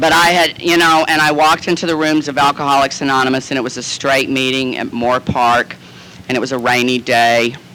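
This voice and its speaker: Amid noticeable background noise, a man with an American accent speaks at a fairly quick pace with fairly even intonation. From Southern United States. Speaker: actor and comedian. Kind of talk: recovery meeting talk. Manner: campy, comic storytelling.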